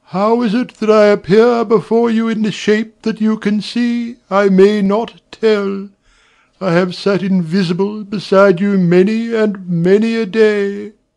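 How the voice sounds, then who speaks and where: Putting on a character voice, a man speaks in a high pitch. His pace is fairly slow. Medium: audio drama. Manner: solemn, lamenting.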